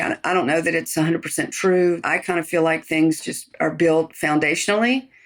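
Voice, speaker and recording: An unremarkable speaking voice with fairly even intonation, moving at a fairly quick pace. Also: woman. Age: 60s. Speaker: chef. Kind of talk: interview. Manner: casual.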